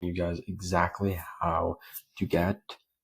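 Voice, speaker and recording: A man's voice, very deep and low in pitch, comes across somewhat breathy. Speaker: automation tutorial creator. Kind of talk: screen-share tutorial. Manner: fast; casual, filler-heavy.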